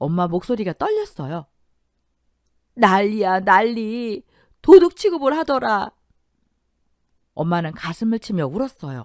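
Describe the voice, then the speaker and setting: In a shaky, put-on character voice, a woman speaks at a moderate pace, the sound dry and close with no echo. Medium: audio drama. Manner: shaky, tearful.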